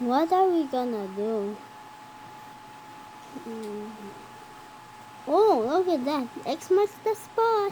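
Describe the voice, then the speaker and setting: A female-sounding cartoonish character voice, high in pitch with very wide swings, speaks very slowly with long, frequent pauses over clear background noise. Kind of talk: animated cartoon character dialogue.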